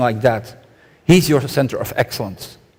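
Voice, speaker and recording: Here a man speaks with a Flemish accent. His pitch is medium and his tone dark and mellow. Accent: Belgian Dutch-accented English. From Belgium. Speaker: conference speaker. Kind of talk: conference keynote talk. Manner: fast.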